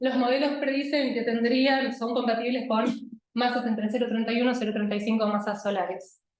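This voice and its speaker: A woman speaks in a high voice. The room echo is audible. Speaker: astronomer. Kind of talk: lecture.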